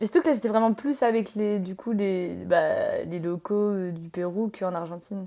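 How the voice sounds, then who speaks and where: In a very clean recording with a silent background, a woman speaks at a moderate pace with hardly any pauses, using a dark, mellow tone, medium pitch and ordinary pitch variation. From France. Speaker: tattoo artist. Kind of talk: casual chat. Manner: hesitant, many fillers.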